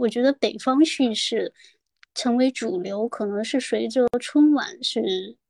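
Very clean, with a silent background and a dry, close sound without echo. A woman speaks very slowly in a fairly high pitch, with ordinary pitch variation. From Guangdong. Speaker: podcast guest. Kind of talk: casual chat. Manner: halting, many fillers.

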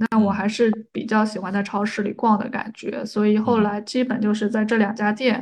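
Somewhat breathy and fairly quick, a woman talks with hardly any pauses in a monotone, flat intonation. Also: fairly high pitch for a woman. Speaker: podcaster and counselor. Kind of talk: casual chat.

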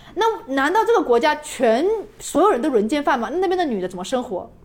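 Very wide pitch swings against noticeable background noise. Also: woman. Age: 20s. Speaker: travel video blogger. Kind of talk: casual chat.

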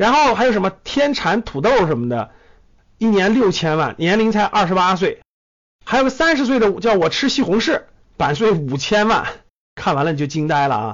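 A man's voice sits at a high pitch with very wide pitch swings. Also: moderate pace. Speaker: investment podcast host. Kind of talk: solo monologue commentary. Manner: animated.

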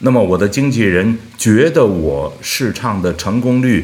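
The man talks at a very slow pace. His voice has vocal fry. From Beijing. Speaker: opera singer. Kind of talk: interview. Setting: studio.

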